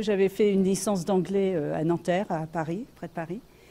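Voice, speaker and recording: A woman's dark, mellow voice at medium pitch, with ordinary pitch variation. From France. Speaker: sociology professor. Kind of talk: academic conference talk read from notes. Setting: conference room with audience. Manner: halting, many hesitations.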